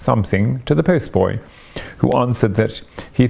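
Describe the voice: Someone reads aloud plainly, the pitch shifting in an ordinary way.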